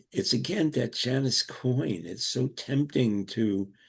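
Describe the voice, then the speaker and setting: Somewhat breathy, a man speaks very slowly with an American accent. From US, Brooklyn, New York. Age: 80s+. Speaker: Montessori educator. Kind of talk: interview. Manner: halting.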